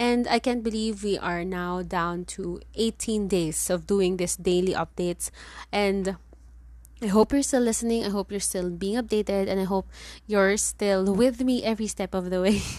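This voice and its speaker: In a very clean recording with a silent background, a woman with a Filipino accent talks at a medium pitch with fairly even intonation. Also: moderate pace. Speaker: podcast host. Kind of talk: casual solo monologue. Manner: Taglish code-switching.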